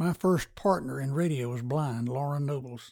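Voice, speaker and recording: Over a very clean recording with a silent background, a man speaks in a dark, mellow, somewhat breathy tone with ordinary pitch variation. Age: 80s+. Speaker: retired pharmacist and sports radio announcer. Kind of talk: casual interview.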